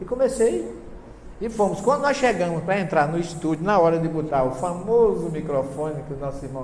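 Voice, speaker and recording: A man with a fairly high pitch speaks at a moderate pace with lively intonation. Noticeable background noise and audible room echo fill the recording. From Brazilian Northeast (Paraíba). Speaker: professor and spiritist lecturer. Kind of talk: lecture. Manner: animated.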